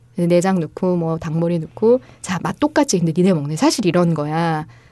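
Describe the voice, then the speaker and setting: Fairly quick and fairly low-pitched, a woman speaks with a dark, mellow tone. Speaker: fair trade coffee team leader. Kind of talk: casual interview chat.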